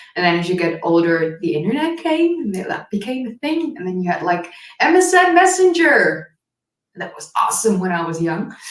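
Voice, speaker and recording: Speaking at a moderate pace in a medium-pitched voice, a woman swings very widely in pitch and loudness amid audible room echo. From Netherlands. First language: Dutch. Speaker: history YouTuber. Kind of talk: casual chat.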